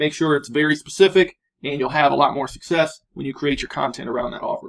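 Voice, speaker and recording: This man has an unremarkable speaking voice, fairly high in pitch, with ordinary pitch variation and a fairly quick pace. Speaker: online course instructor. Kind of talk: tutorial.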